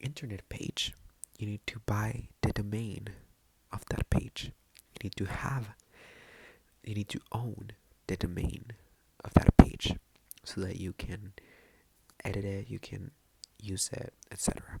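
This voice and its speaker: Whispering moves at a fairly slow pace. Long pauses come often. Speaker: ASMR creator. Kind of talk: ASMR Spanish vocabulary lesson. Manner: soft-spoken.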